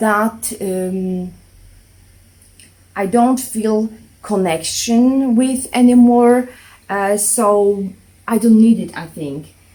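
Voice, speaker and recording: A woman talks very slowly with a non-native accent. Her fairly high voice has a dark, mellow tone. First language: not English. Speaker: minimalism vlogger. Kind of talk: casual vlog monologue. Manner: hesitant, many fillers.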